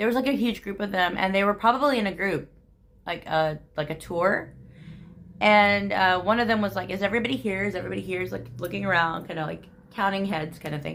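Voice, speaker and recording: A woman talking at a very fast pace, with vocal fry. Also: medium pitch for a woman, ordinary pitch variation. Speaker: vlogger. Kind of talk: casual storytelling vlog. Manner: chatty, many fillers.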